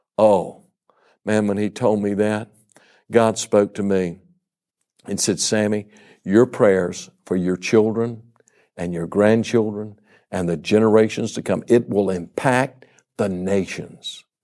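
A man with a Louisiana accent speaks at a very slow pace in a dark, mellow tone, his intonation fairly even and his speech broken by long, frequent pauses, on a very clean recording with a silent background. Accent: Southern US (Louisiana). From US South, Baton Rouge, Louisiana. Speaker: evangelist. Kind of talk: sermon.

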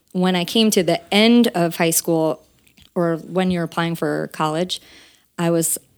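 A woman with an American accent uses a normal speaking voice at a fairly low pitch and moderate pace, intonation fairly even, in a very clean recording with a silent background. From Central New Jersey. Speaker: singer and voice teacher. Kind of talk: interview. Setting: studio.

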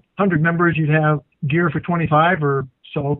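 In an unremarkable speaking voice, a man talks with a fairly high pitch and fairly even intonation. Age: 60s. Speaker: dive instructor and co-host. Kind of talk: casual chat.

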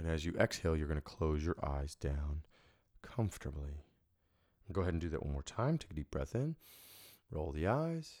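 A calm, gentle tone at a moderate pace, broken by long, frequent pauses. The recording is very clean with a silent background and a dry, close sound with no echo. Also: man, very deep, low pitch for a man, ordinary pitch variation. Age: 30s. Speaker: hypnotist and podcast host. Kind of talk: guided self-hypnosis induction, breathing and relaxation script. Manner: calm, gentle, instructional.

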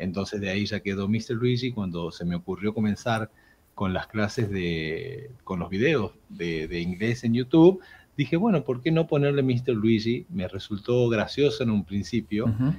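A man's medium-pitched voice, dark, mellow and somewhat breathy, moves at a fairly slow pace with lively intonation. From Argentina, Jujuy (far north). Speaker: English teacher. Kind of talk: casual interview.

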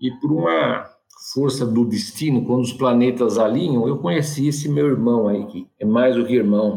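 Dark and mellow, the tone carries through. Pitch variation is ordinary, and the pace is moderate. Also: man, medium pitch for a man. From São Paulo city, Brazil. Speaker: physician and entrepreneur. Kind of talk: casual interview.

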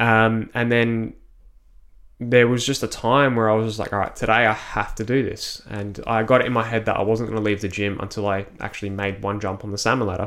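In a very clean recording with a silent background, a man with an Australian accent talks at a fairly quick pace in a medium pitch, his intonation monotone and flat. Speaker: personal trainer and ninja warrior athlete. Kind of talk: casual interview.

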